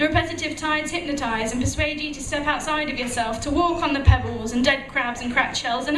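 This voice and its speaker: A woman's high-pitched voice over music in the background. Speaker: spoken word poet. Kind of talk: spoken word poetry performance. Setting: live venue.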